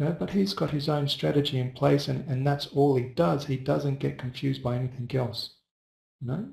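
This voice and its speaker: Somewhat breathy, a man speaks at a fairly quick pace with medium pitch. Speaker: forex trading educator. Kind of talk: live webinar tutorial. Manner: soft-spoken; casual with fillers.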